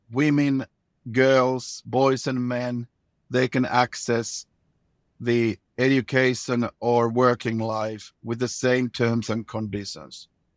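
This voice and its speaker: In a Finnish accent, a man talks at a very slow pace with monotone, flat intonation, the sound dry and close with no echo on a very clean recording with a silent background. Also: medium pitch for a man. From Finland. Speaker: former government minister. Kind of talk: interview. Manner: halting, repeats words.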